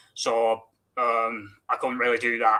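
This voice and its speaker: A man with a Mancunian accent speaks in a bright, sharp tone. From Manchester, England. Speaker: wrestling fan. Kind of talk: interview. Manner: halting, many fillers.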